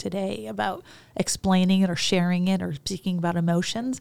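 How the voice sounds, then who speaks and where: On a very clean recording with a silent background, a woman with an American accent and an unremarkable speaking voice talks at a fairly quick pace in a fairly low pitch. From US Midwest, Chicago. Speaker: business coach and psychologist. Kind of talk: interview conversation. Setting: studio.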